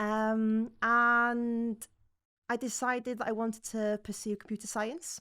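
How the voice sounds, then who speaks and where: In a North Welsh accent, a voice with a bright, sharp tone comes through a very clean recording with a silent background. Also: woman. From North Wales. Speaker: learning and development manager, former scrum master. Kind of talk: podcast interview.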